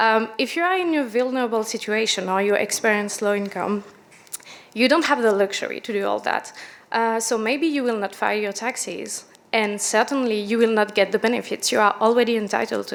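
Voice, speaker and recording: With noticeable background noise behind her, a woman speaks at a fairly quick pace, her fairly high pitch showing ordinary variation. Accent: French. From France. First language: French. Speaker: product manager, panelist. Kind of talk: conference panel presentation.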